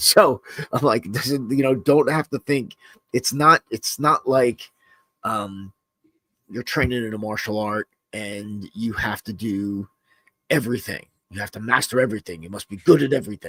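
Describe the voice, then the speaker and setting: With a bright, sharp tone, a man talks at a moderate pace and medium pitch, using ordinary pitch variation and long, frequent pauses. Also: big swings in loudness, dry, close sound with no echo. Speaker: self-defense instructor and podcast host. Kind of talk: casual podcast chat. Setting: live-streamed podcast. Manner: casual, halting with many fillers.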